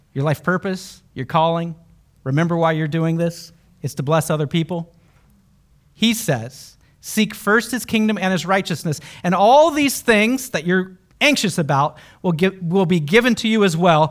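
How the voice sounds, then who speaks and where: At a moderate pace, a man speaks in a high pitch with an animated tone and lively intonation, on a very clean recording with a silent background. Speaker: Bible teacher and podcast host. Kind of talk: live Bible study talk with audience. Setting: stage with live audience. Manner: animated, engaging.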